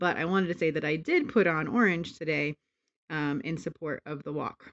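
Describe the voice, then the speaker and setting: A woman's unremarkable speaking voice, fairly low in pitch, with ordinary pitch variation and a moderate pace. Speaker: family vlogger. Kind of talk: casual vlog narration.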